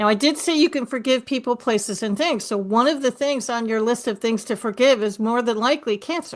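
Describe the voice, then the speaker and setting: Talking at a fairly quick pace with hardly any pauses, a woman with a New York accent has a high pitch. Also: ordinary pitch variation. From New York City. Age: 60s. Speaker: author and speaker, breast cancer survivor. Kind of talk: interview conversation. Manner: animated.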